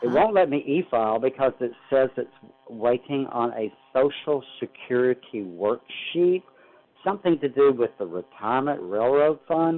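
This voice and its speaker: A plain, everyday voice from a man, medium in pitch, with lively intonation at a moderate pace. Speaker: caller, retired caregiver. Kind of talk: call-in question. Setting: phone call.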